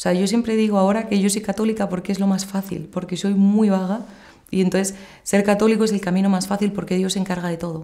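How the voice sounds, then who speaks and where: A woman with a Madrid accent speaks at a very fast pace over a quiet background, her medium pitch, dark, mellow tone and monotone, flat intonation holding throughout. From Madrid, Spain; Spain. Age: 30s. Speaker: pilgrimage organizer; interviewee. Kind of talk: testimony. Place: home room.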